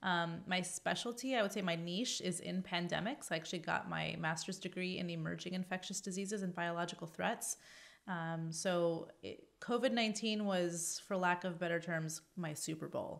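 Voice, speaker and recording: A woman with a Californian accent has a fairly low pitch and ordinary pitch variation. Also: moderate pace, hardly any pauses. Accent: General American, Californian. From US West Coast, Los Angeles. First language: Arabic. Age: 40s. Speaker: epidemiologist and science communicator. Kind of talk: podcast interview. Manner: many fillers (um, uh).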